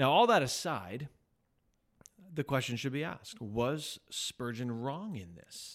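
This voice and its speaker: An unremarkable speaking voice: a man at medium pitch with lively intonation and a moderate pace, on a very clean recording with a silent background. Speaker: pastor and podcast host. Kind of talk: casual chat.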